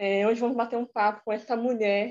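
Against a quiet background, a woman speaks at a fairly quick pace. Her pitch is fairly high. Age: young. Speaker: podcast host. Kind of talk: interview. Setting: remote call.

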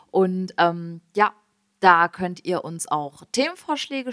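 In a dry, close sound with no echo, a woman speaks at a medium pitch with a bright, sharp tone and ordinary pitch variation. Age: 20s. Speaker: podcast co-host. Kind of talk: casual chat.

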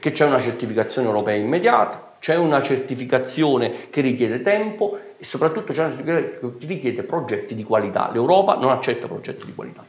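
A man talks at a very fast pace with lively intonation, medium pitch and big swings in loudness, over noticeable background noise. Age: 40s. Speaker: politician, town mayor. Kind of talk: political talk show interview.

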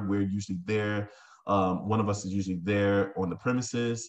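A man with an American accent speaks in an unremarkable speaking voice, fairly low in pitch and at a moderate pace. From Tampa, Florida. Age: 30s. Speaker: restaurant owner. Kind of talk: interview.

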